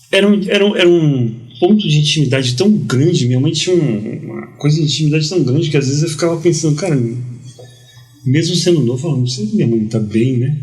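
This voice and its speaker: Over noticeable background noise and audible room echo, a man talks at a very fast pace. His fairly high voice carries lively intonation. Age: 50s. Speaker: journalist and preacher. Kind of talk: casual interview, testimony. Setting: podcast studio. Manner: halting, repeats words.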